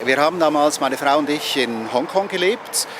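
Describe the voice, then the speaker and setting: A man with a fairly high pitch at a moderate pace, ordinary pitch variation, and noticeable background noise. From Switzerland. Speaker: Reiki master and teacher. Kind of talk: interview answer.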